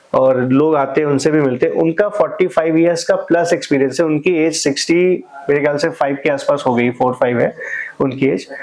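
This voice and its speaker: Through noticeable background noise, a man with a fairly high pitch speaks at a moderate pace with ordinary pitch variation. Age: 30s. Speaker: manufacturing business owner and channel host. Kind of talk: podcast interview.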